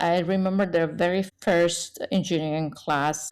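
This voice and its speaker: A woman speaks with a Persian accent. Her pace is fairly slow. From Iran. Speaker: engineer and tech leader. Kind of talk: interview. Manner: halting.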